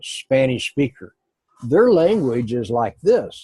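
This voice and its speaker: A man with an American accent speaks at a fairly slow pace, his pitch medium and his tone dark and mellow. The voice is somewhat breathy, with a dry, close sound and no echo. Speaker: Spanish language teacher. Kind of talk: one-on-one language lesson.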